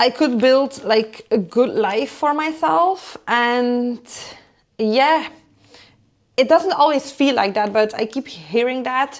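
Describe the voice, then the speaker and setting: This woman has a high pitch and a non-native accent. Her pace is very slow. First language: not English. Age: 30s. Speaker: lifestyle vlogger. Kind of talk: casual chat while cooking.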